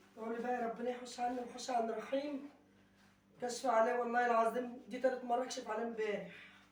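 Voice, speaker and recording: Noticeable background noise and audible room echo fill this clip. A woman with a high pitch talks at a fairly quick pace in a monotone, flat intonation. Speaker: vlogger. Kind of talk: casual vlog chat.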